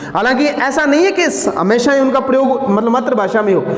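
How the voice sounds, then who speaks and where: A man with a Rajasthani accent at a moderate pace, with ordinary pitch variation, audible room echo and noticeable background noise. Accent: Bagri words in his Hindi. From Haryana, India (Bagri-speaking). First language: Bagri (speaking Hindi). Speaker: teacher. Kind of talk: lecture. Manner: conversational, repetitive.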